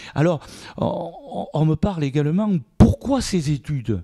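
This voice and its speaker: A dark, mellow, somewhat breathy voice at a fairly slow pace, dry and close with no echo. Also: man. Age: 60s. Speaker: mayor. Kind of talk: interview. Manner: halting, many repetitions.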